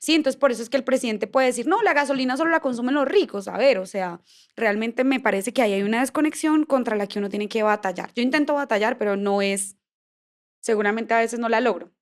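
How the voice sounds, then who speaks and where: A woman with a fairly high voice talks at a very fast pace on a very clean recording with a silent background. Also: ordinary pitch variation. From Colombia, Bucaramanga (Santander). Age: 20s. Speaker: politician. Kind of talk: podcast interview. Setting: studio with live stream.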